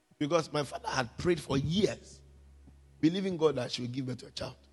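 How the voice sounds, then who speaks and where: A man speaks at a fairly high pitch with ordinary pitch variation. His pace is fairly quick. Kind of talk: fervent prayer. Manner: commanding, loud, call-and-response; urgent, rhythmic, repeated petitions.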